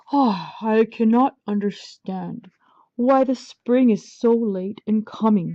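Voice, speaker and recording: A woman's gruff, put-on character voice, fairly high in pitch and fairly slow, over a quiet background. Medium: read story.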